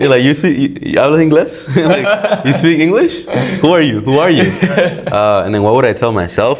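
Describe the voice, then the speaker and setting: A man talks with a Spanish accent, his voice fairly high. His pitch swings very widely over noticeable background noise. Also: moderate pace, very even loudness. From Dominican Republic. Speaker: electrical engineering student. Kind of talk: podcast interview answer. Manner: casual.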